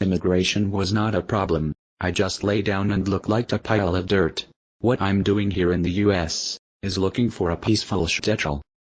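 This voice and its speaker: A man's cartoonish character voice, very deep and low, at a moderate pace over a quiet background. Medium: puppet show.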